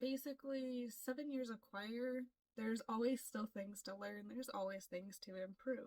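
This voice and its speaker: A woman with an American accent speaks at a fairly slow pace, somewhat breathy, with fairly even intonation. The sound is dry and close, with no echo. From US, Florida. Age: 20s. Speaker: K-pop audition applicant, aspiring singer. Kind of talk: self-introduction vlog.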